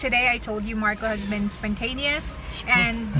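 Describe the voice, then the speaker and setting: Clear music plays in the background as a woman speaks. The sound is dry, with no echo. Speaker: travel vlogger. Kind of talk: casual vlog chat. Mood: cheerful, laughing. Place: car. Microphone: phone near.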